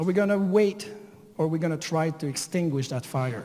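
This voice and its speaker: This man's fairly high voice carries lively intonation. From Canada. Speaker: teacher. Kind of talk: conference talk.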